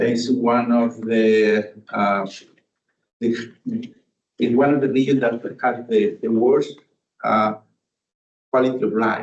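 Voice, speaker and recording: Very slowly and with long, frequent pauses, a man speaks at a medium pitch in a monotone, flat intonation with very even loudness. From Chile. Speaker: audience member. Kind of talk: audience question. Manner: halting.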